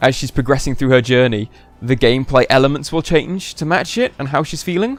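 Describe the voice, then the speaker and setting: A man speaks with a British accent. Music plays in the background. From United Kingdom. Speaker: video game reviewer. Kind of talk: casual review discussion.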